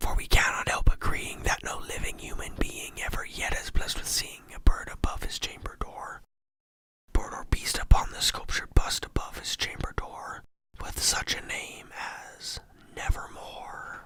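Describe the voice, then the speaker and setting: The speaker is whispering. The pace is moderate. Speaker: ASMR storyteller. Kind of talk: poetry reading. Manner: whispered.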